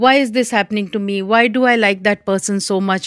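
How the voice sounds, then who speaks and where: A normal speaking voice, a woman talks at a fairly quick pace and fairly high pitch with lively intonation, the sound dry and close with no echo on a very clean recording with a silent background. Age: 60s. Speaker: hypnotherapist. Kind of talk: interview.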